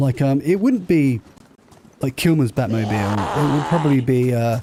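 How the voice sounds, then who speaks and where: At a moderate pace, a man with a southern English accent speaks at a medium pitch with ordinary pitch variation. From southern England (Southampton). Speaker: gaming streamer. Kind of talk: casual chat. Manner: slurring.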